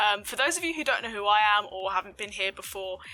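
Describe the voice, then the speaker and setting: With a southern English accent, a woman speaks in a bright, sharp tone at a fairly high pitch with lively intonation. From Southeast England. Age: 20s. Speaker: gaming streamer. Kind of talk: vlog-style personal story. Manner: frequent fillers (um, uh).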